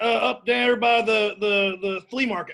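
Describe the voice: A man uses a put-on character voice, high in pitch with vocal fry and a fairly bright tone. He moves at a fairly slow pace with fairly even intonation.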